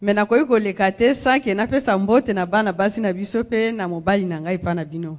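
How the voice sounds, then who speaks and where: A woman at medium pitch with a Congolese accent, very fast pace, hardly any pauses and ordinary pitch variation. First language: Lingala. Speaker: women's ministry leader. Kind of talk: testimony. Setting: church.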